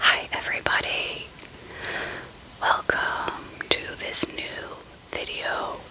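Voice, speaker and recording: A woman whispers at a very slow pace, with long, frequent pauses. Noticeable background noise sits behind her. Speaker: ASMR creator. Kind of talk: ASMR show and tell, casual talk to camera. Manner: whispered, soft-spoken.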